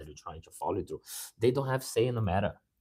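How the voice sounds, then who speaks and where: A man's somewhat breathy voice with a Brazilian accent. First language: Portuguese. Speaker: musician and motivational speaker. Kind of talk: motivational live talk. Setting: live stream. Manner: halting, with repetitions.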